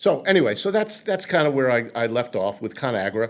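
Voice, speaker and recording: A New York accent, lively intonation, and a fairly quick pace. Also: man. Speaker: marketing consultant. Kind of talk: interview. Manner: halting.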